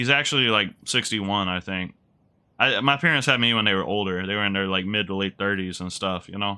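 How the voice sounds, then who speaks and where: A man with an unremarkable speaking voice talks at a fairly low pitch. His pace is fairly quick, with ordinary pitch variation. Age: 20s. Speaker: gaming streamer. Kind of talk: live let's play commentary. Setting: live stream.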